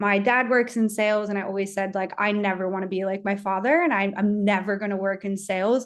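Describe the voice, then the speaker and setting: A woman's normal speaking voice with an American accent, medium pitch, ordinary pitch variation and a moderate pace, over a quiet background. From USA. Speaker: sales enablement professional. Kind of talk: webinar fireside chat.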